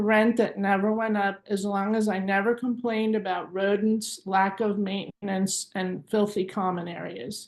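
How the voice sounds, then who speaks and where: A woman talks at a moderate pace against a quiet background. She has an ordinary speaking voice, pitched fairly high. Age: 50s. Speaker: activist student debtor. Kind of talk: prepared statement at press conference.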